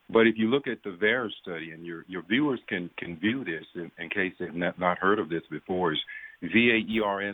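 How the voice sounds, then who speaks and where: This man speaks at a moderate pace in a very deep, low pitch with a Southern US accent and ordinary pitch variation. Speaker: physician. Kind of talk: radio interview.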